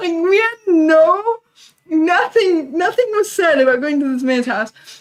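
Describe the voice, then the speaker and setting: A loud woman's voice sits at an extremely high pitch and sounds breathy. Her intonation is lively. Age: 20s. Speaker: livestreamer. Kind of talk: casual chat.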